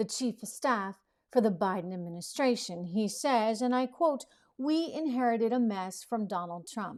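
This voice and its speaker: At a moderate pace, a woman talks in a normal speaking voice with a fairly high pitch and ordinary pitch variation. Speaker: TV news host. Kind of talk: political commentary podcast. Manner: opinionated, conversational.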